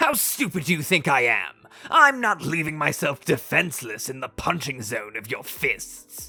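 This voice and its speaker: Over faint music in the background, a woman uses a put-on character voice with a very deep, low pitch at a moderate pace. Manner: rude, haughty, irritable.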